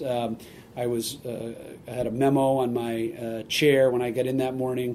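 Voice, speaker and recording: A man with an American accent, medium pitch and dark, mellow tone, at a moderate pace in a monotone, flat intonation, with audible room echo. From Massachusetts, Boston area. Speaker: sports team executive. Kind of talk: interview. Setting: stadium office.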